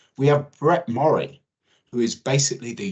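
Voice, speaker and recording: A somewhat breathy male voice at medium pitch. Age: 50s. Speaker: oil spill preparedness expert. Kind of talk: webinar presentation. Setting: online webinar.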